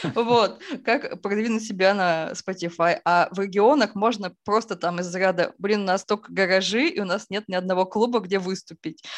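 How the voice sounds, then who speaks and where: Over a quiet background, a woman talks at a moderate pace in a normal speaking voice, medium in pitch with ordinary pitch variation. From Izhevsk, Udmurtia, Russia. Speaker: music label founder and festival organizer. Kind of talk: casual interview.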